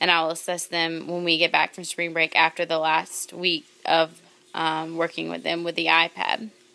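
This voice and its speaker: In a monotone, flat delivery, a woman speaks with a fairly low pitch and a bright, sharp tone. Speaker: kindergarten teacher. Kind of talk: video blog. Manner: fast.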